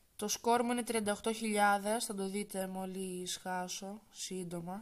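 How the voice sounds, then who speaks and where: A soft-spoken woman at medium pitch, fairly slow and monotone, with flat intonation. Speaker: gaming YouTuber. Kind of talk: gameplay commentary. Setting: wearing headphones, recording at home.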